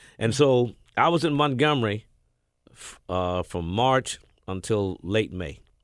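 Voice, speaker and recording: In a very clean recording with a silent background, a man with an American accent speaks at a medium pitch and a fairly slow pace, with lively intonation and big swings in loudness. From US South, Mississippi. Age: 60s. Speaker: radio DJ and program director. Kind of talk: interview storytelling. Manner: halting, filler-heavy.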